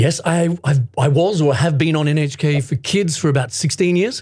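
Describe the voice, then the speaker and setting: A man at a moderate pace and fairly high pitch, somewhat breathy, with ordinary pitch variation and very even loudness. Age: 50s. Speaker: voice actor. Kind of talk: interview answer. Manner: energetic, upbeat.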